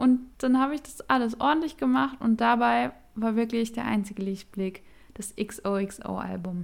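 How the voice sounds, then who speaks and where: A woman with a fairly high pitch and a plain, everyday voice speaks at a moderate pace with lively intonation and big swings in loudness. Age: 20s. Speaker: podcast co-host. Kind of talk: casual chat.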